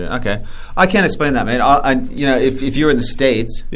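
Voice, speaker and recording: Noticeable background noise sits behind a man with an American accent. He speaks at a medium pitch with ordinary pitch variation. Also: fairly quick pace. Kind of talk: casual.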